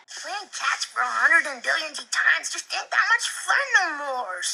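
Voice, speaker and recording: In a put-on character voice, a female-sounding speaker goes at a moderate pace, squeaky and extremely high in pitch. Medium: voice reel.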